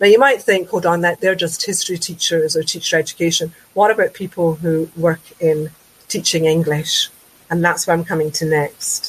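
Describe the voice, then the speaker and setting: A woman's fairly low, somewhat breathy voice in a Glaswegian accent, at a moderate pace with fairly even intonation. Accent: Glaswegian Scottish. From Scotland, Glasgow south side. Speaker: education lecturer. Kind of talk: webinar presentation. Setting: online webinar.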